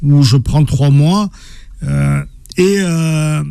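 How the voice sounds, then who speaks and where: A man's fairly high-pitched voice carries a dark, mellow tone. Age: 50s. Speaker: author and former professional boxer. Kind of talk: interview. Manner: halting, many repetitions.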